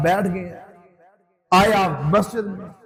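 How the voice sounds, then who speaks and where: Music plays behind the speaker. He is a man with a high-pitched voice. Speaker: Islamic scholar giving a sermon. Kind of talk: Islamic sermon (bayan) delivered to an audience.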